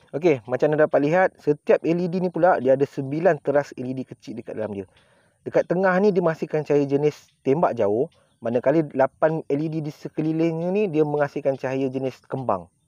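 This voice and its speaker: Against a quiet background, a man with a dark, mellow tone talks at a moderate pace in a dry sound with no echo. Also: ordinary pitch variation. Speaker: product reviewer. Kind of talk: casual product review chat. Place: open country.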